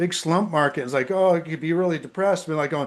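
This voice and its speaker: A man's high, animated voice at a very fast pace with ordinary pitch variation. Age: 60s. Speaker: real estate agent giving product testimony. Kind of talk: testimony. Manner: halting, many fillers and restarts.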